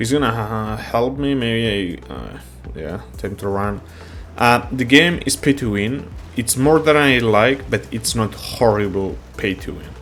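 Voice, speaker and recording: A man's medium-pitched voice with a non-native accent, a fairly slow pace, lively intonation and big swings in loudness, with music in the background. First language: not English. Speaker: gaming YouTuber. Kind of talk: gameplay tutorial commentary. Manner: casual, halting with fillers.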